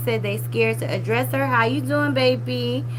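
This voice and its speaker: Amid noticeable background noise and audible room echo, a woman with a very deep, low pitch speaks at a moderate pace in a monotone, flat intonation. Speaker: live-stream commentary host. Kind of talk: live stream chat reading and commentary.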